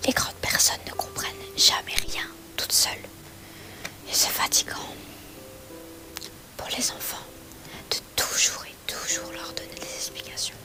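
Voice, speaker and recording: A whispering woman at a fairly slow pace, with long, frequent pauses, big swings in loudness and music in the background. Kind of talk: bedtime story reading. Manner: soft-spoken, slow.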